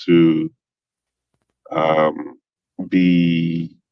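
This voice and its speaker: A man speaks with a Nigerian accent. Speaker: engineer. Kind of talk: casual chat. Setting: podcast interview. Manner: halting.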